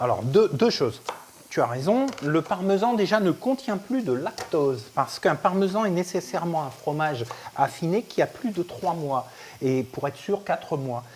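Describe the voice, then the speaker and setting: Over noticeable background noise, a man with a high voice talks at a moderate pace, his pitch swinging very widely. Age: 60s. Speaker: chef and nutrition expert. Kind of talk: live cooking workshop. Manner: animated.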